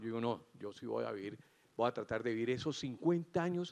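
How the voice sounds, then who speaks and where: Lively intonation and a moderate pace from a man in an ordinary speaking voice. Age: 60s. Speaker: cardiac surgeon giving opening remarks. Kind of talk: conference keynote speech.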